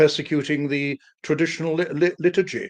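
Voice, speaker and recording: A man with a British accent and a fairly high pitch. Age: 70s. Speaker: historian and author. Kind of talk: live-stream interview. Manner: halting, stammering repetitions.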